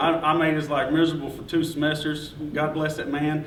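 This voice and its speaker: In a Kentucky accent, a man with a fairly high pitch talks at a moderate pace through noticeable background noise and audible room echo. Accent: Kentucky Southern. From Todd County, Kentucky. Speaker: journalist, award winner. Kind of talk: acceptance speech. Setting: breakfast event with audience. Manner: halting.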